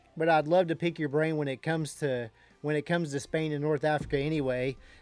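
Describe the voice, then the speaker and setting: Speaking very fast, a man uses a Texan accent. His pitch is fairly high and his intonation monotone and flat. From Texas. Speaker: day trading livestreamer. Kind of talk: casual chat. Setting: live stream.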